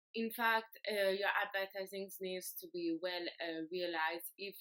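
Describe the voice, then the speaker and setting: A woman with a French accent speaks fairly slowly at a medium pitch, her intonation fairly even. Her tone is bright and sharp, and the sound is dry and close with no echo. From France. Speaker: exchange student. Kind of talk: class project presentation. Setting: self-recorded video. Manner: halting, many fillers.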